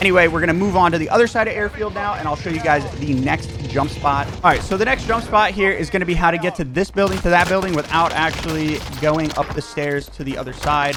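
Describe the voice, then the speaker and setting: A man with a high pitch and ordinary pitch variation speaks at a very fast pace with hardly any pauses, against noticeable background noise. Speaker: gaming youtuber. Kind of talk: gameplay tutorial. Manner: casual, with filler words.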